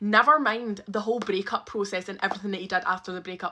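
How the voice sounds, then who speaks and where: Over noticeable background noise, a woman with a Scottish accent speaks in a medium pitch with an animated tone. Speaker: storyteller. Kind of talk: storytime monologue. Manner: loud.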